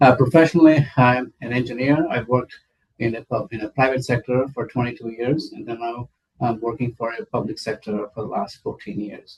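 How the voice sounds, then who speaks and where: Speaking at a fairly quick pace, a man has a medium-pitched, somewhat breathy voice. Ordinary pitch variation comes through in a dry, close sound with no echo. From India. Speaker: city council candidate. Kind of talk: interview. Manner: hesitant, many fillers.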